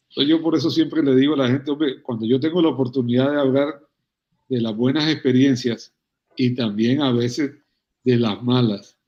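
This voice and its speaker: Speaking at a fairly quick pace, a man uses a plain, everyday voice pitched fairly high. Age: 60s. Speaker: veterinarian and cattle rancher. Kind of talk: interview conversation.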